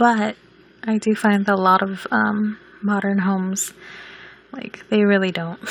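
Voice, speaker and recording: A woman speaks at a fairly slow pace, with long, frequent pauses and noticeable background noise. Her medium-pitched voice stays monotone and flat. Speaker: video game builder. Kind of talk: casual gameplay voice-over.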